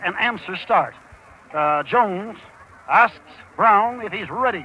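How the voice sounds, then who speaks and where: Over noticeable background noise, a man uses a raised, projected voice, high in pitch with lively intonation. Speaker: sportscaster. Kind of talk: live horse race call. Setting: outdoors. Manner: fast, excited.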